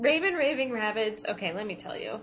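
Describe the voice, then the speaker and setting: A woman speaks at a moderate pace with an American accent. Her pitch swings very widely. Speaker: podcast co-host, video game talk. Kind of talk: casual banter.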